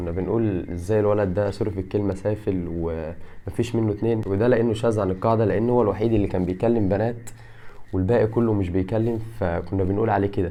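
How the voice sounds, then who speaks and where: This man talks at a fairly quick pace with hardly any pauses, in an Egyptian accent at a fairly low pitch. Audible room echo surrounds his voice. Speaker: YouTuber and fitness content creator. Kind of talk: casual vlog monologue. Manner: animated.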